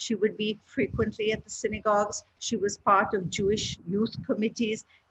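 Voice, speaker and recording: Somewhat breathy, the voice moves at a moderate pace with monotone, flat intonation. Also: woman, fairly high pitch for a woman. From India, Calcutta. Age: 60s. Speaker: author and scholar. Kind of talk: lecture. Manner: halting.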